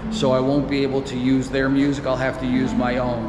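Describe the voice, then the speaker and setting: A man at a fairly quick pace amid loud background noise. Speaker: travel vlogger. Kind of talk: casual vlog chat. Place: street. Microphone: phone near.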